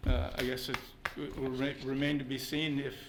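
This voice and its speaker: A man at a medium pitch with fairly even intonation and a fairly quick pace, with audible room echo and music in the background. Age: 70s. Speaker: resident speaking at public meeting. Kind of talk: public comment at council meeting. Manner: halting, stammering.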